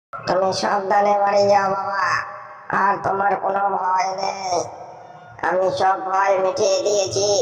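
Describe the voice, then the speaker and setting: A cartoonish character voice that sounds female, at a medium pitch and a fairly slow pace with flat, monotone intonation. Clear echo and clear background noise surround it. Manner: soft, motherly.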